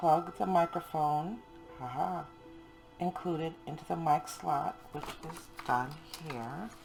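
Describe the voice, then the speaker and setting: A woman's very deep, low voice at a very slow pace, with long, frequent pauses, big swings in loudness and music in the background. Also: ordinary pitch variation. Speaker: homeschool teacher. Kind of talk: casual product review to camera.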